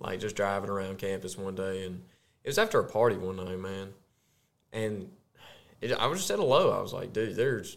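A man in a Southern US accent talks at a moderate pace with a fairly low pitch. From US South, Arkansas. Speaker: podcast co-host, corporate employee. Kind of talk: casual chat, faith testimony.

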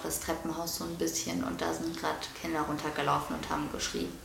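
Noticeable background noise and audible room echo accompany the woman as she talks. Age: 20s. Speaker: podcast co-host. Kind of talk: casual chat. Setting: holiday apartment. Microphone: poor audio quality, noisy microphone.

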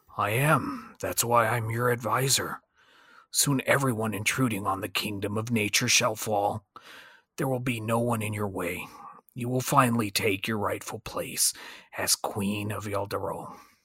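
Using a raspy, put-on character voice, a man speaks at a medium pitch and a moderate pace. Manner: calm, measured.

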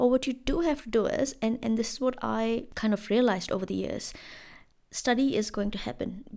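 A woman with an Indian accent speaks at a fairly quick pace, fairly high in pitch with ordinary pitch variation. Her tone is dark and mellow with vocal fry, on a very clean recording with a silent background. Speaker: podcast host. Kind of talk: solo podcast monologue. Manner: casual, conversational with fillers.

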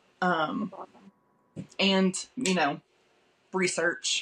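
Bright, sharp-toned woman's voice with ordinary pitch variation. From Kentucky. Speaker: author. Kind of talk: interview.

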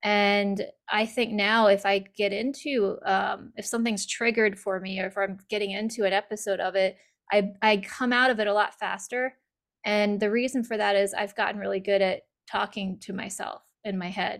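At a moderate pace, the speaker talks in a monotone, flat intonation over a very clean recording with a silent background. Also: woman, medium pitch for a woman. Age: 40s. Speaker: author. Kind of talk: casual chat.

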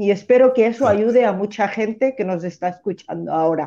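A woman speaks at a moderate pace with lively intonation. Her fairly high voice has a dark, mellow tone. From Catalonia, Spain. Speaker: caller. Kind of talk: testimony.

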